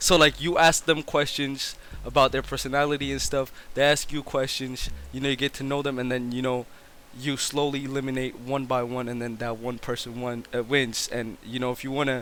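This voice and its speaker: The voice has a bright, sharp tone and moves at a fairly quick pace in a monotone, flat intonation. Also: man, medium pitch for a man. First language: not English. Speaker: streamer. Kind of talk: casual chat. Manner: stutters.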